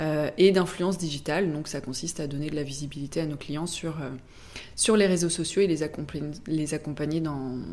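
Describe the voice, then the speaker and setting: A woman's very deep, low pitch and dark, mellow tone at a fairly quick pace. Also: fairly even intonation. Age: 30s. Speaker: press relations agency director. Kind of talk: podcast interview. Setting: office.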